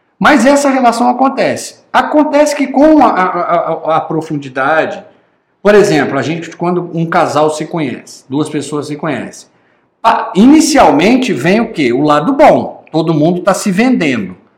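Audible room echo surrounds a man whose pitch is high and swings very widely. He talks at a fairly slow pace. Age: 50s. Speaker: online course instructor. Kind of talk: recorded lecture.

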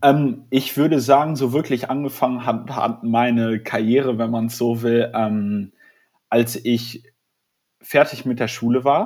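Fairly slow, fairly even speech from a man, pitched in the medium range. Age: 20s. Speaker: startup founder and student. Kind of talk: interview. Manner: halting, many fillers.

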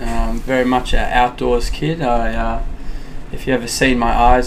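A man with an Australian accent is heard with audible room echo and noticeable background noise. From Perth, Western Australia. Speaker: gym owner. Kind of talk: casual chat.

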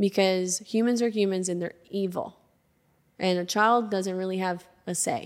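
A woman with an American accent speaks at a moderate pace and a medium pitch, her intonation fairly even, in an ordinary speaking voice. The recording is very clean, with a silent background. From Arkansas, US South. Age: 20s. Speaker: podcast founder and entrepreneur. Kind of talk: casual interview conversation. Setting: studio.

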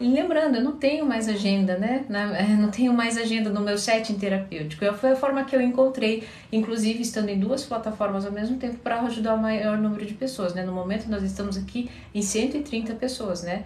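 A woman's fairly high voice at a fairly quick pace with ordinary pitch variation, amid noticeable background noise and audible room echo. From Curitiba, southern Brazil. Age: 40s. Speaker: psychologist. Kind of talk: live-stream Q&A. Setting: live stream on social media.

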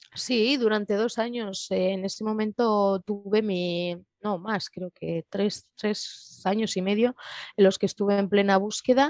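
A woman's medium-pitched voice at a fairly slow pace with fairly even intonation, in a dry, close sound with no echo and a quiet background. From Spain, Madrid. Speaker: guest sharing personal testimony. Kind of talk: interview. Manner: halting.

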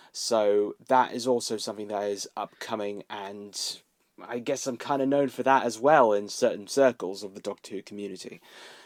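A man with a southern English accent, fairly low in pitch with fairly even intonation, on a very clean recording with a silent background. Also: moderate pace, dry, close sound with no echo. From southern England, Milton Keynes. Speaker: YouTuber and cosplayer. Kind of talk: casual chat.

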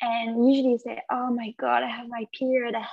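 The delivery moves at a moderate pace with fairly even intonation. The sound is dry and close, with no echo. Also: woman. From France. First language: French. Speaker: yoga instructor. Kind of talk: casual interview conversation.

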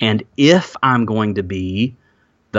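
Speaking in an Alabama accent, a man talks very slowly. His pitch is fairly low, with ordinary variation. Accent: Southern US (Alabama). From US South, Alabama. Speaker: former pastor, podcaster and author. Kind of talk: interview, personal testimony. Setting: remote call, hosts cannot see him.

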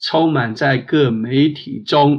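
A man speaks very slowly in a fairly high pitch. His pitch varies in an ordinary way. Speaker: prayer leader. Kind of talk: fervent prayer. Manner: earnest, heartfelt.

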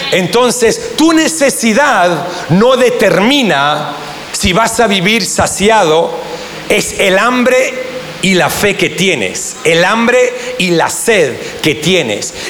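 Speaking at a very slow pace, a high-pitched man keeps his loudness very even while his intonation stays lively, with audible room echo and noticeable background noise. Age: 40s. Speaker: pastor. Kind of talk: sermon. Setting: church.

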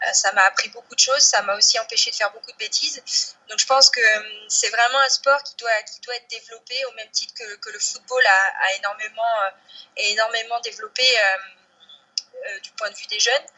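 A woman with a fairly high voice talks at a fairly quick pace yet leaves long, frequent pauses. Her loudness swings a lot while her intonation stays fairly even. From Brittany, France (Côtes d'Armor). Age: 30s. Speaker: professional cyclist. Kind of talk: interview. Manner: halting, many fillers and repetitions.

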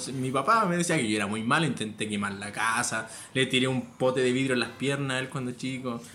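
With a Chilean accent, the speaker talks at a fairly quick pace amid audible room echo. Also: man, medium pitch for a man, ordinary pitch variation. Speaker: tattoo artist. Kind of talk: casual chat.

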